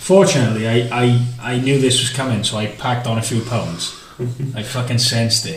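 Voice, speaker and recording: A man talks at a medium pitch, his voice carrying audible room echo along with noticeable background noise. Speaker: podcast co-host. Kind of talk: casual chat. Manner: stuttering. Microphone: far from the mic.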